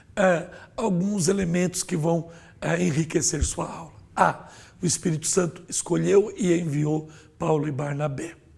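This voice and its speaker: Fairly even intonation marks the speech, which proceeds at a fairly slow pace. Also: man, high pitch for a man. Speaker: pastor and Sunday school teacher. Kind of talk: Bible lesson lecture. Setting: studio.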